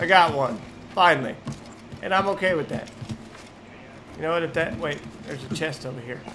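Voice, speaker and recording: A man's fairly high voice at a fairly quick pace, with ordinary pitch variation, long and frequent pauses, and music in the background. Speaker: gaming YouTuber. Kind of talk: casual gameplay commentary. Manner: casual, profane, excitable.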